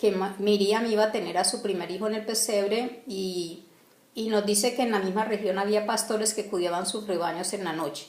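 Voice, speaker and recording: Both noticeable background noise and audible room echo are in the recording. The speaking pace is fairly slow. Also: woman. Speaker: bible teacher. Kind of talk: religious teaching talk. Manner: halting, many fillers and restarts.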